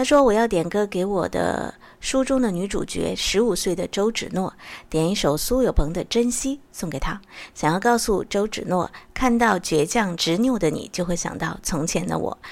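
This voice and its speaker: On a very clean recording with a silent background, a woman with a normal speaking voice talks at a moderate pace in a medium pitch, her intonation lively. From Sichuan, Zigong. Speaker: radio host. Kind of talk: radio song-request show.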